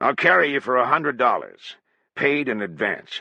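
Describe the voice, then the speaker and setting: Using a put-on character voice, a man speaks at a medium pitch and moderate pace with lively intonation. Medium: read story. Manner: terse, blunt.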